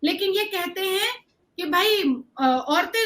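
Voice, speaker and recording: With a bright, sharp tone, a woman speaks in a raised, projected voice at an extremely high pitch, swinging very widely in pitch. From India. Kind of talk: debate argument. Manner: animated.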